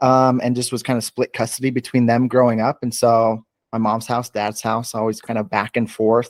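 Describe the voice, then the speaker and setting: With an American accent, a man talks at a moderate pace and medium pitch in a monotone, flat delivery with hardly any pauses, recorded dry and close with no echo, very clean and with a silent background. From US Mountain West, small town. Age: 30s. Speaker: fitness coach. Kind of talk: podcast interview. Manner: casual, filler-heavy.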